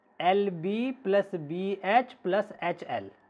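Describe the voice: A man speaks with a high pitch. His intonation is lively.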